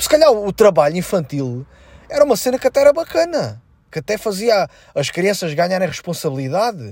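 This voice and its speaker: A man with a European Portuguese accent talks at a fairly quick pace in a high pitch. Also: very clean recording, silent background. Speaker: comedian and podcast host. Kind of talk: casual solo monologue.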